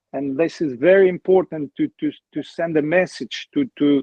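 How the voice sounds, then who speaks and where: Speaking at a moderate pace, a man with a fairly high pitch talks with an Albanian accent. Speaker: former footballer. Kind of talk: interview. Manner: halting.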